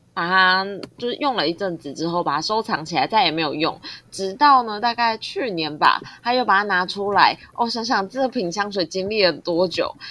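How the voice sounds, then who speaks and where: A woman talks at a moderate pace with lively intonation and a bright, sharp tone. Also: medium pitch for a woman. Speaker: podcast co-host. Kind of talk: casual chat.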